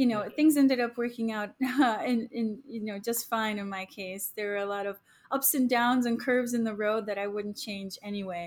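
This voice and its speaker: A woman with a normal speaking voice talks at a fairly high pitch with fairly even intonation on a very clean recording with a silent background. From Chicago, US Midwest (born in Poland, moved at six). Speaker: airline pilot and food business founder. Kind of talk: casual interview.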